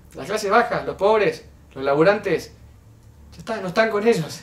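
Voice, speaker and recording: Talking at a fairly quick pace, a man with a high pitch is heard with audible room echo. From Argentina. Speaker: youtuber commenting on political clip. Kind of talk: video commentary. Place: home room.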